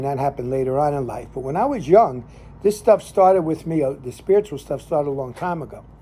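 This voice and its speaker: A man with an American accent talks at a fairly high pitch, noticeable background noise around him. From New Jersey (Jersey City, Hackensack). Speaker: lay minister and cigar show host. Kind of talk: casual storytelling monologue. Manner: halting, many fillers.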